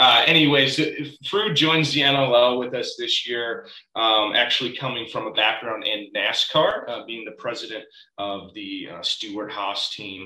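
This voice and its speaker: The speaker talks fairly slowly with an American accent, and the loudness swings widely. Room echo is audible throughout. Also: man. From Chicago suburbs, Illinois. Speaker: podcast co-host. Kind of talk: casual chat.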